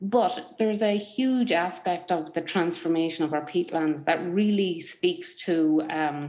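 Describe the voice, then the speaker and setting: In an Irish Midlands accent, the speaker talks at a fairly slow pace with ordinary pitch variation. Loudness stays very even. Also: woman, fairly low pitch for a woman. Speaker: research collaboration executive. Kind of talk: online panel discussion. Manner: halting, many fillers and repeats.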